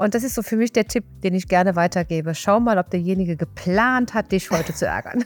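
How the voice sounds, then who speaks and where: With a Rhineland accent, the speaker goes at a fairly quick pace with hardly any pauses, very even loudness and ordinary pitch variation, in a dry, close sound with no echo. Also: woman, medium pitch for a woman. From Rhineland, Germany. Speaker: mental coach and hypnotherapist. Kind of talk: casual interview.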